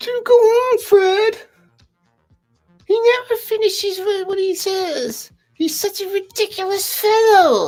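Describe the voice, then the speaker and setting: A squeaky, extremely high put-on character voice at a fairly slow pace with long, frequent pauses, over faint background music. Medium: read story.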